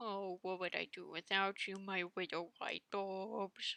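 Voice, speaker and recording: In a put-on character voice, a woman speaks nasally at a medium pitch and a fairly slow pace. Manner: theatrical, grandiose.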